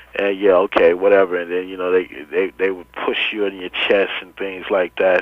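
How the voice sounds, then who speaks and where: Noticeable background noise sits under a man talking at a moderate pace with fairly even intonation. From US West Coast, Watts, Los Angeles. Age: 30s. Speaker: former gang member and peace activist. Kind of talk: interview. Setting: phone call.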